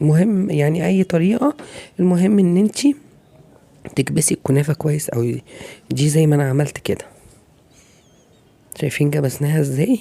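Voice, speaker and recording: With an Egyptian accent, a woman speaks at a moderate pace with long, frequent pauses, lively intonation, a dark, mellow tone, very even loudness and a very deep, low pitch. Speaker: cooking channel host. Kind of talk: cooking tutorial. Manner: casual, conversational.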